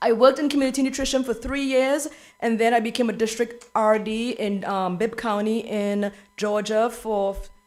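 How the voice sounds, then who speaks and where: Background music can be heard. Over it, the intonation remains fairly level. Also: woman, fairly high pitch for a woman. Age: 50s. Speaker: school nutrition director. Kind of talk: presentation to school board. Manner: fast.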